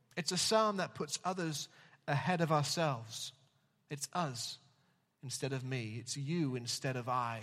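A man at a fairly slow pace with long, frequent pauses, on a very clean recording with a silent background. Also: fairly high pitch for a man, ordinary pitch variation. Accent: English. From England. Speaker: pastor. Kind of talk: sermon. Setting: church.

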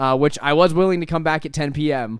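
On a very clean recording with a silent background, a man speaks at a moderate pace. He has an unremarkable speaking voice with ordinary pitch variation. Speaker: podcast host. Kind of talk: casual chat. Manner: conversational, rambling.

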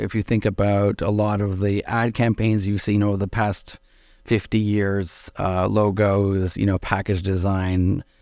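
On a very clean recording with a silent background, a man speaks in an ordinary speaking voice with a Canadian accent. His pitch is fairly low, his pace moderate and his intonation fairly even. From Quebec, Outaouais (West Quebec). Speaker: nonprofit executive director. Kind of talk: interview.

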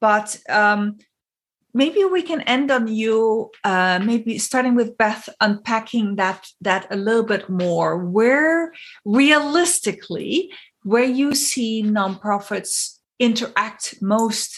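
Speaking at a very slow pace with a non-native accent, a woman uses lively intonation in a somewhat breathy, fairly high voice. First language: not English. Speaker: podcast host and consultant. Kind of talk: interview.

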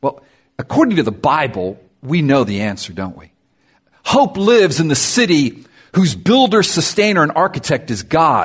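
With vocal fry and very wide pitch swings, a man speaks fairly high in an animated tone. He keeps a moderate pace, with big swings in loudness. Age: 50s. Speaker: pastor. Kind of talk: sermon.

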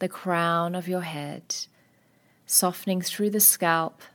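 Her tone is calm and soothing, and the woman's intonation stays fairly even. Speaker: naturopath and meditation instructor. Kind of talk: guided meditation. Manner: slow, calm, soothing; soft-spoken, gentle, with long pauses.

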